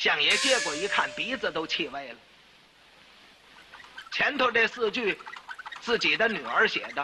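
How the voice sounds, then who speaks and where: A man speaks at an extremely high pitch with very wide pitch swings. The pace is fairly slow, with long, frequent pauses and noticeable background noise. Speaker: crosstalk performer. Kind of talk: solo comic storytelling.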